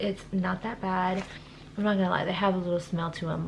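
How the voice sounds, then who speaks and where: With an American accent, a woman speaks at a medium pitch in a monotone, flat intonation, with noticeable background noise and audible room echo. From California, Stockton. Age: 20s. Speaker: lifestyle vlogger. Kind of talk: tutorial. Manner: casual.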